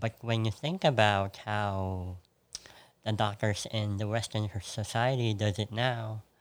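In a Filipino accent, a man talks at a fairly slow pace with a fairly low pitch and fairly even intonation. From Philippines. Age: 30s. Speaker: podcast guest. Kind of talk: casual chat.

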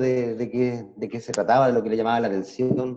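A man with a Chilean accent speaks at a moderate pace in a medium pitch, with noticeable background noise. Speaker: classmate in a group video call. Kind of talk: casual chat.

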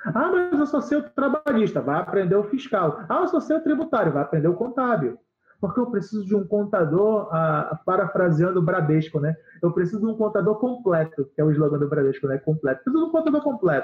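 Talking at a fairly quick pace, a man with a high pitch makes very wide pitch swings while holding very even loudness. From Brazil, Belém do Pará. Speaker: accountant and business consultant. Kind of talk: interview.

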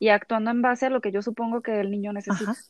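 A woman's voice comes through dry and close with no echo over a quiet background. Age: 30s. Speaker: psychologist. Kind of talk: expert interview.

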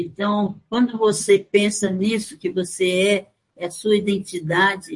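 Somewhat breathy, a woman speaks at a very slow pace with a medium pitch. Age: 80s+. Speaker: folklorist. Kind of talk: interview testimony. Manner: halting.

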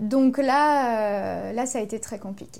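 This woman's voice is fairly high in pitch. It carries a dark, mellow tone. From Ardennes, France. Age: 30s. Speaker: yoga teacher. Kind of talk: interview.

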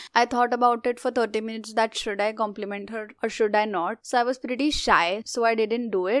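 The recording is very clean, with a silent background. The speaker has an Indian accent and fairly even intonation. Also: woman. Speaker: podcast co-host. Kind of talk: casual chat.

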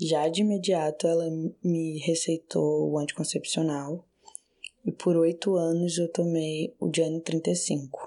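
A woman's dark, mellow tone at a fairly low pitch, with monotone, flat intonation, a very slow pace and very even loudness. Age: 20s. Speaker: patient sharing experience. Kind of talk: personal testimony.

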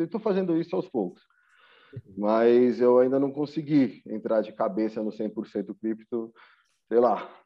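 This man has a normal speaking voice at a medium pitch. He keeps a moderate pace. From São Paulo, Brazil. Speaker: personal trainer and crypto investor.

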